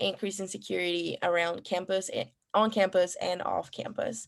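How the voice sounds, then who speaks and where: In a Spanish accent, a woman speaks in a monotone, flat intonation on a very clean recording with a silent background. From Ecuador. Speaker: student election candidate. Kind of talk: debate Q&A answers. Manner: halting, many fillers.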